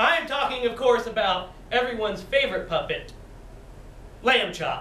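A man's raised, projected voice with audible room echo and light background noise. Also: lively intonation, moderate pace. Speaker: improv performer. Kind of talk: improvised comedy infomercial pitch. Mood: playful, amused. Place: hall. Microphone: camera far.

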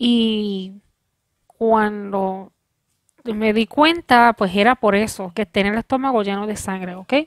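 Fairly high-pitched woman in a Puerto Rican accent, at a very slow pace with ordinary pitch variation against a quiet background. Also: dry sound with no echo. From Puerto Rico. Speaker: video creator. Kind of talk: personal vlog testimony. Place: home room. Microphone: headset.

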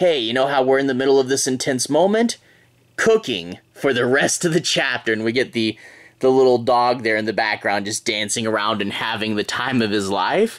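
A man speaks at a moderate pace, his pitch varying in an ordinary way, with a quiet background behind him. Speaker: comic book reviewer. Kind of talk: casual review commentary. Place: home room.

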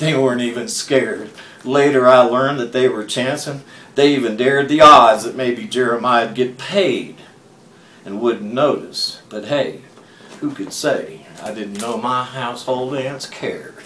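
A man with an American accent talks at a fairly slow pace, his loudness swinging widely and his pitch varying in an ordinary way, in a room with audible echo. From Texas. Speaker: storyteller and poet. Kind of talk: tall-tale poetry reading. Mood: drowsy, dramatic, playful. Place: home room. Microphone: webcam.

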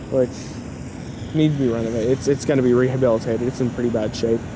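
Very fast speech over noticeable background noise. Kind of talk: casual vlog commentary. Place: street. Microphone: phone near.

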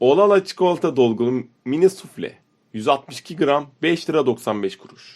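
A man's very slow delivery with lively intonation. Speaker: product catalog narrator. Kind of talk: reading product list with prices.

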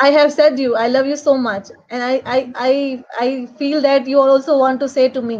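At a moderate pace with hardly any pauses, a woman speaks in a high voice with monotone, flat intonation. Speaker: host of online panel. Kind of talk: interview questions and casual panel talk. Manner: halting. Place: home room. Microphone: video call.

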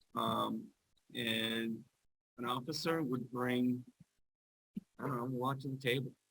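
In a bright, sharp tone, a man speaks fairly slowly in a flat monotone, leaving long, frequent pauses. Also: medium pitch for a man. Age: 60s. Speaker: school board member. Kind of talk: board meeting discussion. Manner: halting.

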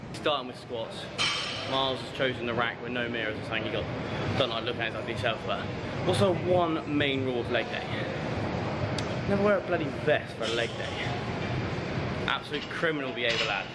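Fairly quick speech from a man amid loud background noise. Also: ordinary pitch variation. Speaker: fitness vlogger. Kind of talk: casual vlog chat. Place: gym. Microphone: phone near.

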